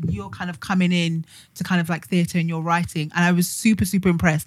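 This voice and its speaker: In a British accent, a woman talks at a medium pitch with a somewhat breathy quality on a very clean recording with a silent background. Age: 30s. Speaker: podcast host. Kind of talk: casual chat. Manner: talkative.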